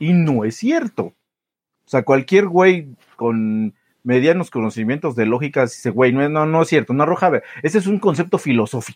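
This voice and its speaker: Recorded dry and close with no echo, a man with a Mexican accent speaks at a fairly slow pace with lively intonation. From Mexico. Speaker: podcast co-host. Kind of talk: casual chat.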